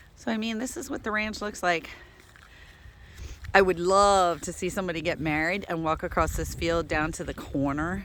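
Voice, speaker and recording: A woman speaks at a moderate pace in a plain, everyday voice, fairly low in pitch with ordinary pitch variation. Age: 60s. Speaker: dog rescue ranch owner. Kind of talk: casual walking video tour. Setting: outdoors. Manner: relaxed, chatty.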